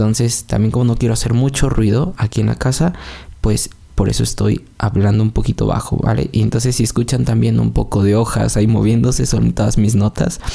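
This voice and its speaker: The delivery runs at a fairly quick pace with very even loudness. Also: man. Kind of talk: religious podcast monologue. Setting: at home, recorded in the early morning. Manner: soft-spoken, quieter than usual; calm, less energetic than usual.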